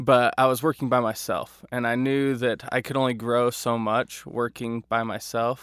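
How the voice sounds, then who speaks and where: Dry and close with no echo on a very clean recording with a silent background, a man with an American accent talks at a moderate pace and medium pitch, monotone and flat, with hardly any pauses. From US, Idaho (Boise area). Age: 20s. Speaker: video editor and writer, amateur comedian. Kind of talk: casual interview chat.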